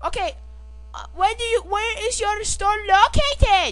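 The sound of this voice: Putting on a character voice, a woman speaks at an extremely high pitch and a fairly slow pace, with a fairly bright tone and lively intonation.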